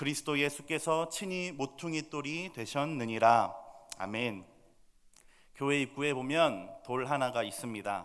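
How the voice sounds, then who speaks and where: At a fairly slow pace, a man speaks with a medium pitch. His pitch variation is ordinary. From Seoul, South Korea. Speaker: pastor. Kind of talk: sermon. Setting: church.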